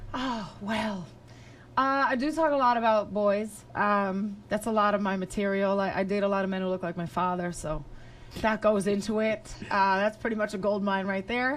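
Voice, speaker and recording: A medium-pitched woman with a New York accent, ordinary pitch variation and a moderate pace. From New York, the Bronx. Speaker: stand-up comedian. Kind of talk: casual chat.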